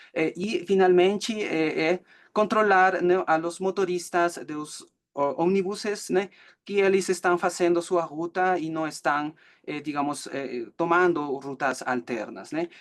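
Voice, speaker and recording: A man with a Peruvian accent talks at a fairly slow pace. His pitch is high, with ordinary variation. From Peru, Cusco. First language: Spanish (speaking Portuguese). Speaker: student presenting final thesis. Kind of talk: academic presentation. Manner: halting, many fillers.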